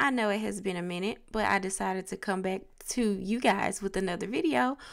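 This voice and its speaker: A woman talks at a moderate pace with a Southern US accent. Her pitch sits in the medium range. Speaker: beauty vlogger. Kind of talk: casual talk to camera.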